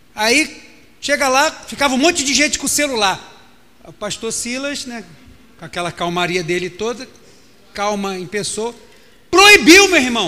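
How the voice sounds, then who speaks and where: In a raised, projected voice, a man speaks at extremely high pitch with a bright, sharp tone, very wide pitch swings, big swings in loudness, a moderate pace, and long, frequent pauses. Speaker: pastor. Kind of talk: sermon. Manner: animated.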